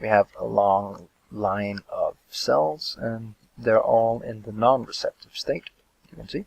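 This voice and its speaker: Very slowly and with big swings in loudness, a man with a non-native accent speaks in a dry, close sound with no echo. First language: not English. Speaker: gaming youtuber. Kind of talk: tutorial. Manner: hesitant, many fillers.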